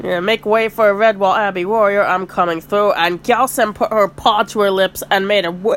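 An unforced reading voice, fairly even in its intonation

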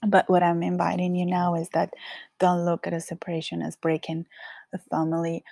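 A woman talks at a fairly quick pace in a strong Colombian accent, her pitch fairly low and her tone dark and mellow. Her intonation is monotone and flat, and the sound is dry and close with no echo. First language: Spanish. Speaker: podcast host. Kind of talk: casual monologue.

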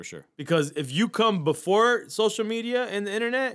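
A moderate pace carries an American accent. The background is silent and the recording very clean. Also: man. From Miami, Florida. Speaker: podcast producer. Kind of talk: casual chat.

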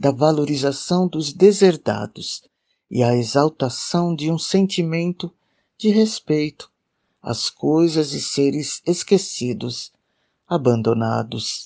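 The delivery is very slow. The background is quiet. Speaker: podcast host and poetry reader. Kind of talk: poetry reading, expressive and unhurried, slipping from introduction into verse. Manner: slow, measured, expressive, reverent.

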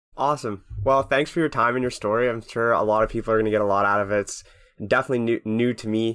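A man's very fast speech at medium pitch, with fairly even intonation, on a very clean recording with a silent background. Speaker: student podcast co-host. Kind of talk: casual interview.

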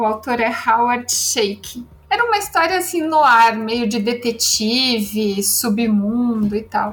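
A woman speaks very slowly with hardly any pauses. Her fairly high pitch shows ordinary variation. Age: 40s. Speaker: writer. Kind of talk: casual chat.

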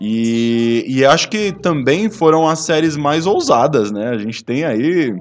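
The pace is very slow. The intonation is lively, with hardly any pauses. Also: man, fairly high pitch for a man. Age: 30s. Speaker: podcast guest. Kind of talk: casual chat.

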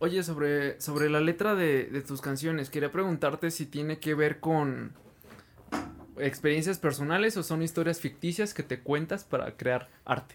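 A man talks in a normal speaking voice at a fairly high pitch. His pace is fairly slow, and his intonation fairly even. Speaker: podcast host. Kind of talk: casual interview chat.

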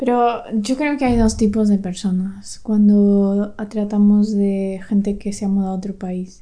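A woman talks in a plain, everyday voice at a fairly slow pace, with hardly any pauses. Her intonation is fairly even. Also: medium pitch for a woman. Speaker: podcast co-host. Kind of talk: casual chat.

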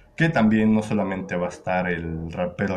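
A man speaks with a Mexican accent at a fairly slow pace. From Mexico, Querétaro. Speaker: podcast host. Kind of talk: casual chat. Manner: halting.

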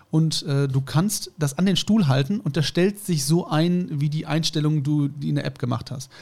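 A man speaks at a moderate pace and a fairly high pitch. His voice is somewhat breathy, with ordinary pitch variation. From Germany. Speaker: podcast co-host. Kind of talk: casual chat.

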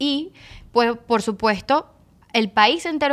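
The recording is very clean with a silent background. A woman talks in a normal speaking voice at a fairly high pitch. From Caracas, Venezuela (Petare). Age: 20s. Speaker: strength coach. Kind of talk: casual interview. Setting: studio.

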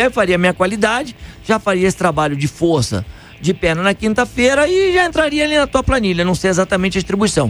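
Here a man speaks at a fairly quick pace. His pitch swings very widely. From Rio de Janeiro state, Brazil (Niterói). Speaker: running coach. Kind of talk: radio interview.

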